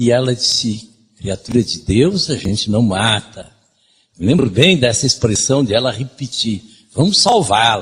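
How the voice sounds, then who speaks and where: His voice sits at a medium pitch for a man and carries a somewhat breathy edge. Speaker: lecturer. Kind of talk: lecture.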